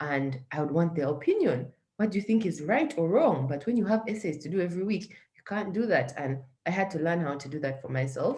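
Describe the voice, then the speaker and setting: At a fairly quick pace, a woman with a fairly low pitch and a dark, mellow, somewhat breathy tone makes very wide pitch swings. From Uganda. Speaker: social entrepreneur. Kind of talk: interview.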